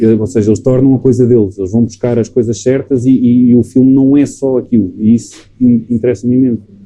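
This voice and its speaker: His voice is medium-pitched, with a dark, mellow tone and monotone, flat intonation. This man talks at a fairly quick pace with hardly any pauses. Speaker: film director. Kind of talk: casual chat. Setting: recorded in a bar.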